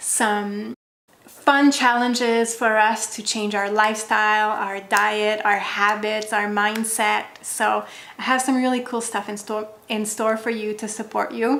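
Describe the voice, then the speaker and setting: Woman with a French accent, bright and sharp in tone, fairly slow, in a flat monotone. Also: fairly high pitch for a woman. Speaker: wellness content creator. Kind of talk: direct-to-camera vlog.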